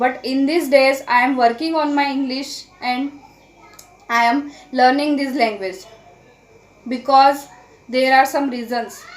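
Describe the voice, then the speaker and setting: Pausing long and often, a woman speaks in a high pitch with fairly even intonation against noticeable background noise. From India. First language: Marathi. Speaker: English learning YouTuber. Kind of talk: casual vlog talk to camera. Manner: halting, with fillers and self-corrections.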